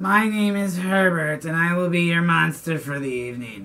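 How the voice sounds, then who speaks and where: Breathy and high, a man's put-on character voice moves at a moderate pace. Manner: polite, formal.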